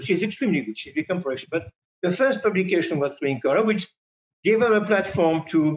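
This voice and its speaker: Talking at a very fast pace, a man with a French accent uses a high pitch. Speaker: magazine editor. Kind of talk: interview. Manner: halting, with repetitions.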